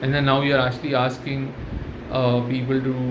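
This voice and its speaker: Speech at a fairly quick pace with monotone, flat intonation comes through audible room echo and noticeable background noise. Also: man. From India, Tamil-speaking. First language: Tamil. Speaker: channel host, commentator. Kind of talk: casual monologue. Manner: hesitant, many fillers.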